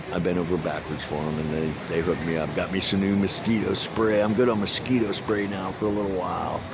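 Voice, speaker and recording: Noticeable background noise and audible room echo surround a man who talks at a fairly quick pace with ordinary pitch variation. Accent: American. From Miami, Florida. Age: 60s. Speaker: vlogger cycling cross country, ex-carnival worker. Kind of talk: casual vlog talk and chat with strangers. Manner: halting, many fillers and repetitions.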